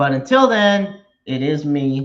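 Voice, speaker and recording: Here is a man with a fairly high pitch and ordinary pitch variation. He has a normal speaking voice. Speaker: sports podcast host. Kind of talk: solo sports talk show. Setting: live stream. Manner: casual, many filler words.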